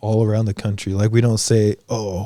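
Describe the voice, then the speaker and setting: This man has a dark, mellow tone. He talks at a fairly slow pace. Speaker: podcast co-host. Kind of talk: casual chat.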